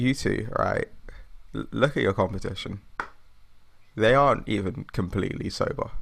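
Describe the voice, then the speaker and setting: A man talks at a moderate pace. His pauses are long and frequent. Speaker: podcast host. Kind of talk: casual banter among friends, chaotic.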